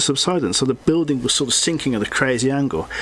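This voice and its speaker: A man speaks at a fairly high pitch, with ordinary pitch variation. Music plays in the background. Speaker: comic artist and YouTuber. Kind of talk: casual chat. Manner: halting, many fillers.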